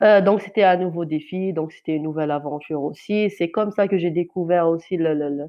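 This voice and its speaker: Hardly pausing at all, a woman with a fairly low pitch speaks with fairly even intonation. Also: fairly quick pace. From Algeria, Kabylie. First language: Kabyle (Amazigh) (speaking French). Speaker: journalist. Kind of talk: testimony. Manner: halting, many hesitations and repetitions.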